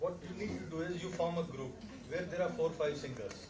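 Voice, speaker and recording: Audible room echo and noticeable background noise surround a voice moving at a moderate pace with ordinary pitch variation. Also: man. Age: 60s. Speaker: laryngologist. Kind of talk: panel discussion. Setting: medical conference.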